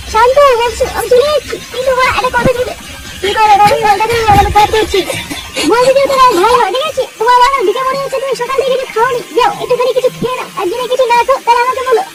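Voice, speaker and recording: This cartoonish character voice sits at an extremely high pitch. It moves at a fairly quick pace. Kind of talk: comic overacting.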